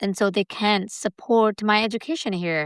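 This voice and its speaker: With a Burmese accent, a woman at medium pitch speaks at a moderate pace with fairly even intonation, her voice dry and close with no echo on a very clean recording with a silent background. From Myanmar. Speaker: community college student. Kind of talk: interview. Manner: halting.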